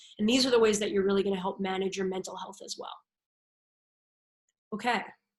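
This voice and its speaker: Speaking very fast with an American accent, a woman at medium pitch keeps fairly even intonation but has big swings in loudness. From New Jersey. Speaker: sport psychologist. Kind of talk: webinar presentation.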